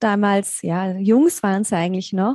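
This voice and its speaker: A woman speaks at a medium pitch with ordinary pitch variation and a dark, mellow tone. The background is quiet. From Germany, near Mainz. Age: 30s. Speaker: yoga teacher. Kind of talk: interview.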